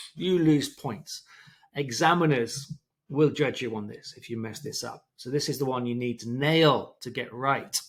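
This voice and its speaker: An ordinary speaking voice with ordinary pitch variation. The loudness swings a lot. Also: man, fairly high pitch for a man, fairly slow pace. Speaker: English teacher. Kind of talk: tutorial.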